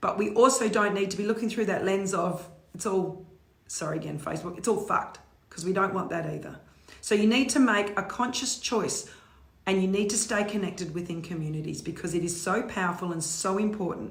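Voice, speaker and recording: Fairly quick and animated, a woman in an Australian accent speaks over noticeable background noise with audible room echo. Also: medium pitch for a woman, ordinary pitch variation. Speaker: motivational speaker. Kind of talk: live stream talk.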